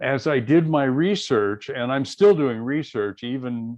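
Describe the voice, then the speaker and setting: With an American accent, a man speaks very slowly at a fairly high pitch with lively intonation. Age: 70s. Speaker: author. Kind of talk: interview. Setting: radio show. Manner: halting.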